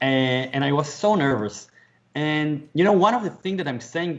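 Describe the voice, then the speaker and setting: A man's fairly high-pitched voice at a moderate pace, with a non-native accent. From Israel. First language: Hebrew. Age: 40s. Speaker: author and motivational speaker. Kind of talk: interview conversation. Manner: halting, repeats words.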